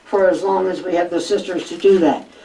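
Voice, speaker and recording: Noticeable background noise and audible room echo surround a woman speaking at a moderate pace. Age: 80s+. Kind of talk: public talk with audience Q&A.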